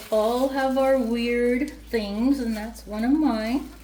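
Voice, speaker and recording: Loud speech at a very slow pace, with noticeable background noise and audible room echo. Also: woman. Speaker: home cook. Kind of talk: cooking tutorial. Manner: casual, conversational. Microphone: external mic problems, sounds like shouting.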